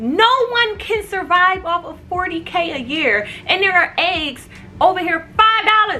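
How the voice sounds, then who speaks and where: A woman speaks in a raised, projected voice with an extremely high pitch. Her pace is fairly slow and her intonation lively. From United States. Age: 20s. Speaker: vlogger. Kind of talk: casual vlog rant. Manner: animated, stuttering when upset.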